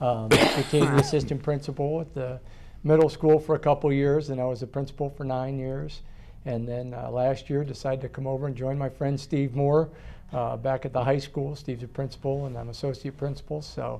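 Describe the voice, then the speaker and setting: A man with an American accent speaks fairly quickly in a flat monotone. His tone is dark and mellow, and his pitch is fairly high. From northern Ohio, US. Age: 40s. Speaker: school principal. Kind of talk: interview.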